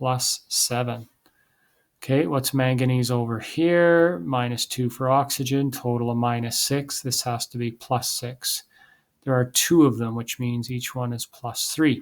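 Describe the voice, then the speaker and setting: A man with a plain, everyday voice at medium pitch talks at a fairly slow pace with fairly even intonation on a very clean recording with a silent background. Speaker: chemistry teacher. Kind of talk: lecture.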